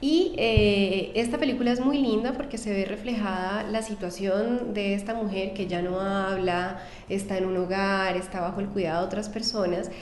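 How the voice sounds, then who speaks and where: Barely pausing, a woman speaks amid audible room echo and noticeable background noise. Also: medium pitch for a woman, ordinary pitch variation, moderate pace. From Colombia, Cali. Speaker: psychologist and doctoral researcher. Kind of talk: interview. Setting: university building.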